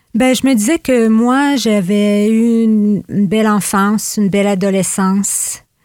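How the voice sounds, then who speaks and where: This woman has an ordinary speaking voice at a medium pitch. She talks at a fairly slow pace with hardly any pauses. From Gaspé Peninsula, Quebec. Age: 60s. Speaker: retired youth rehabilitation worker. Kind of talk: casual interview.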